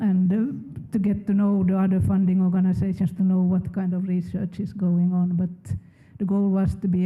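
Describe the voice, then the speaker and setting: The speaker talks with a Swedish accent. The pace is moderate. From Finland. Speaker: research funding program manager. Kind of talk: panel discussion.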